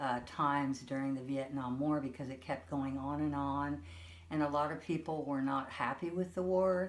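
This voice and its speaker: A woman's very deep, low voice in an American accent, lively in intonation, with audible room echo. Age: 60s. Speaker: grandmother being interviewed. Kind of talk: interview.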